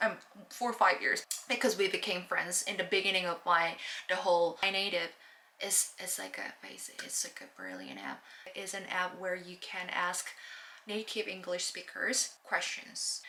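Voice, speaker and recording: With a Korean accent, a woman speaks at medium pitch and a moderate pace, her intonation fairly even, over noticeable background noise. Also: big swings in loudness. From South Korea. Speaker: language learning vlogger. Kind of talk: casual vlog talk. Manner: halting, many fillers and restarts; stutters.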